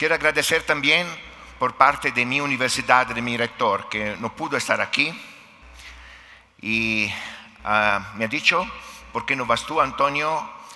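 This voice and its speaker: A fairly high-pitched male voice with an Italian accent and ordinary pitch variation, at a fairly slow pace with long, frequent pauses, over noticeable background noise. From Italy. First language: Italian (speaking Spanish). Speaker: philosophy professor. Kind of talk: conference talk. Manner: hesitant, with fillers.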